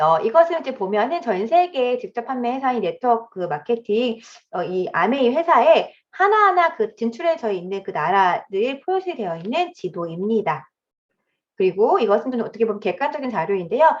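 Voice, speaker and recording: A woman's fairly high voice moves through very wide pitch swings. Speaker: direct sales business presenter. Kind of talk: sales presentation lecture. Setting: video call. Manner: fast.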